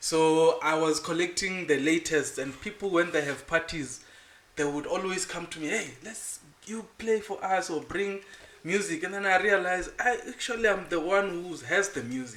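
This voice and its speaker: Over noticeable background noise, a man talks at a moderate pace. His pitch is high. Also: ordinary pitch variation. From South Africa, Venda (Limpopo). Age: 30s. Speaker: music entrepreneur and DJ. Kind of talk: interview.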